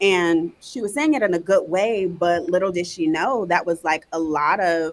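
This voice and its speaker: A woman's normal speaking voice, fairly low in pitch, with an American accent, at a moderate pace. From North Carolina and Virginia. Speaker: educator and marketing entrepreneur. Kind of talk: podcast interview. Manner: casual, uses many fillers.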